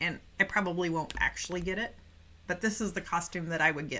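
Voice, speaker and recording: Her bright, sharp voice is fairly low for a woman, with fairly even intonation. She speaks at a fairly quick pace. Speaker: English teacher. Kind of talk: live online class. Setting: livestream.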